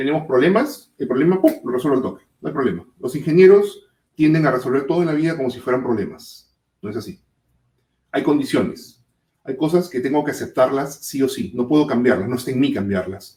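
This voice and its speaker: Fairly quick, somewhat breathy speech from a man with fairly high pitch, a dark, mellow tone and lively intonation. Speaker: safety management consultant. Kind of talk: webinar presentation. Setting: online webinar. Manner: fast.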